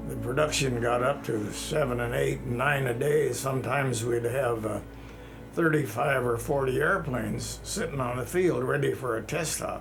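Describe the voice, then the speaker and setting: Music plays in the background as a man speaks at a moderate pace with audible room echo. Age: 80s+. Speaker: retired test pilot. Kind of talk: interview reminiscence. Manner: frequent throat clearing.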